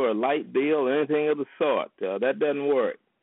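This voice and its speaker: This is an unremarkable speaking voice, a man with an American accent and a fairly high pitch. He keeps a moderate pace with ordinary pitch variation. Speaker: political commentator. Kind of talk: informational overview. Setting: phone call.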